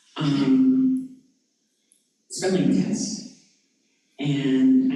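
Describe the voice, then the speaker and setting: Audible room echo follows a man whose pitch swings very wide. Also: long, frequent pauses. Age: 70s. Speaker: discussion group participant, former teacher. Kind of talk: personal sharing in discussion. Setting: church discussion group.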